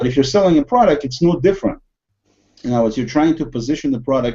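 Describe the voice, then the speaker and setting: A man's dark, mellow tone with a Russian accent. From USSR. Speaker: podcast host. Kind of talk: casual discussion. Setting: video call.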